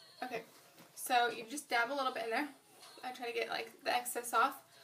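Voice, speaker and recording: Against background music, a woman with a high voice speaks in a flat monotone at a moderate pace. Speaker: beauty vlogger. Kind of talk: makeup tutorial. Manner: mumbling; casual, filler-heavy.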